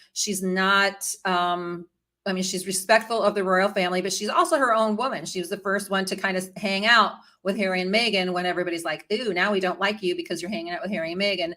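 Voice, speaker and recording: With an American accent, a woman speaks at a very fast pace in a medium pitch, her tone bright and sharp and her intonation fairly even, on a very clean recording with a silent background. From US Midwest, Chicago area. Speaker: royal news and history vlogger. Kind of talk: casual live-stream commentary. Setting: live stream. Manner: chatty, many fillers and restarts.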